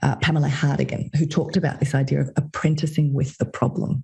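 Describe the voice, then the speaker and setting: A woman talks at a fairly quick pace with an Australian accent. Her pitch is very deep and low. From Australia, Sydney. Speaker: consultant and podcast host. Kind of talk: interview conversation.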